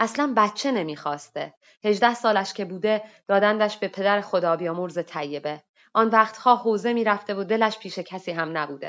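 Speaking in an unremarkable speaking voice, a woman keeps a moderate pace, a medium pitch and ordinary pitch variation. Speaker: workshop participant reading her own short story. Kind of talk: reading aloud a story. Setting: online voice chat room.

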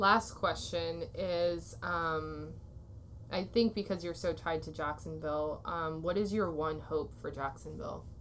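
This woman talks fairly slowly. Her voice carries audible echo from the room. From US Midwest (Waterloo, Iowa). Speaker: podcast host and photographer. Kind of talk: interview.

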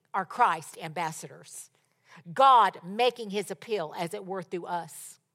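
Animated in tone, a woman speaks with big swings in loudness. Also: very clean recording, silent background. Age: 70s. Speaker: preacher. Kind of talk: sermon. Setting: church with audience.

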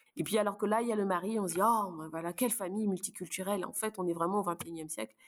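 Speech comes at a very fast pace with fairly even intonation. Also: woman, medium pitch for a woman. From Luxembourg. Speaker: neuropsychologist. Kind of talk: casual interview.

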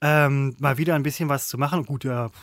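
This man has a fairly high pitch and moves at a fairly quick pace. His pitch varies in an ordinary way. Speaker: podcast co-host, former TV presenter. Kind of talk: casual chat. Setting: remote call.

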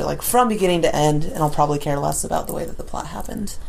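A woman's very deep, low voice at a very fast pace, with ordinary pitch variation and noticeable background noise. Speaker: podcast co-host. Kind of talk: casual banter.

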